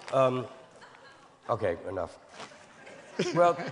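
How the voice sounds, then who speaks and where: A man talks fairly slowly as noticeable background noise runs underneath. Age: 60s. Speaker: panelist. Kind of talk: panel discussion.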